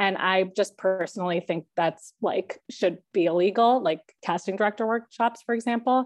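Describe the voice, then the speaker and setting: Speaking with an unremarkable speaking voice, a woman keeps a medium pitch, ordinary pitch variation and very even loudness at a moderate pace with hardly any pauses. The background is quiet. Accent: American. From Chicago suburbs, US Midwest. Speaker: TV comedy writer. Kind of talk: class Q&A. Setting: video call.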